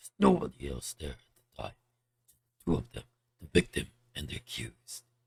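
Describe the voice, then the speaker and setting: A man's put-on character voice, very deep and low, at a moderate pace with long, frequent pauses. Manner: serious, grave.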